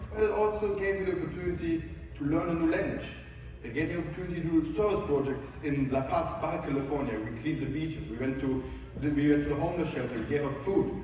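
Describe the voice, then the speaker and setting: A man with a German accent speaks very fast at a fairly high pitch, with ordinary pitch variation. There is audible room echo and noticeable background noise. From Germany. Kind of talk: conference talk. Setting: stage with audience.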